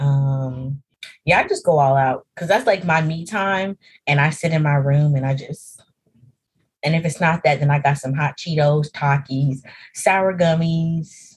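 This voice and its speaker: A woman with a very deep, low pitch, somewhat breathy, at a fairly slow pace with ordinary pitch variation. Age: 20s. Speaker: podcast co-host. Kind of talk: casual chat.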